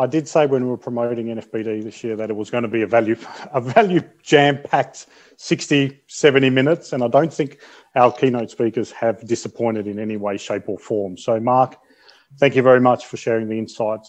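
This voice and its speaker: With an Australian accent, a man speaks at a moderate pace and medium pitch with ordinary pitch variation, an enthusiastic tone and big swings in loudness over a quiet background. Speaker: event host. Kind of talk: virtual event hosting. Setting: video call. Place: home room. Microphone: earbuds.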